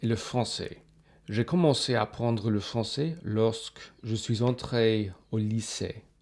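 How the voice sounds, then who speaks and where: A man with a medium-pitched voice and ordinary pitch variation talks very slowly. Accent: English. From Australia. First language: English (speaking French). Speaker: polyglot youtuber. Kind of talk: casual personal talk to camera.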